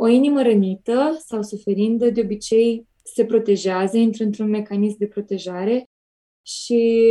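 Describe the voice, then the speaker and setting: The woman's voice has a fairly high pitch, a dark, mellow tone and monotone, flat intonation. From Romania, Piatra Neamț. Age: 20s. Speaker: cancer survivor sharing testimony. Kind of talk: religious testimony. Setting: remote call into radio show.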